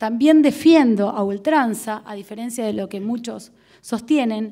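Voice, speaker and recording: Against a quiet background, a woman with a fairly high pitch and a dark, mellow tone speaks at a fairly slow pace with ordinary pitch variation. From Argentina. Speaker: prosecutor; panelist. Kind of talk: lecture. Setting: auditorium with audience. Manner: formal. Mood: earnest, argumentative. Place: hall. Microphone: podium.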